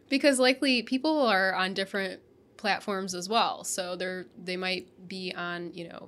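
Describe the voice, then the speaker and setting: In an ordinary speaking voice, a woman talks at a fairly slow pace with medium pitch and ordinary pitch variation, on a very clean recording with a silent background. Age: 30s. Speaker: video marketing podcast co-host. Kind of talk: casual chat.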